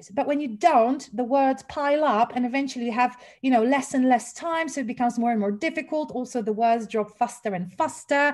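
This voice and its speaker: The speech comes at a moderate pace with lively intonation and a Polish accent. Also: woman. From Poland. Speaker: English teacher trainer. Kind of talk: webinar lecture. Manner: casual, with fillers. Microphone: sound issues.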